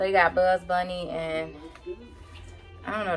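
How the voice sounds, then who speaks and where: There is faint music in the background as a woman speaks. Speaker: vlogger. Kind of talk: casual, slangy vernacular. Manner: casual, chatty. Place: home room. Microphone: phone near.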